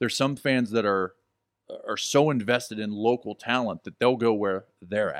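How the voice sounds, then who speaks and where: Delivered at a moderate pace in a normal speaking voice, the speech has ordinary pitch variation and a dry, close sound with no echo on a very clean recording with a silent background. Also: man, medium pitch for a man. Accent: American. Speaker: wrestling manager and commentator. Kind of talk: casual chat. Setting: studio.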